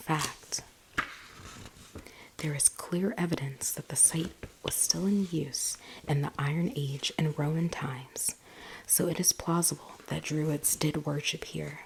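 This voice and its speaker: Soft-spoken, a woman talks at a fairly slow pace with a very deep, low pitch, fairly even intonation and long, frequent pauses. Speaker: ASMR content creator. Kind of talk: ASMR bedtime story book reading for sleep. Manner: soft-spoken, relaxing.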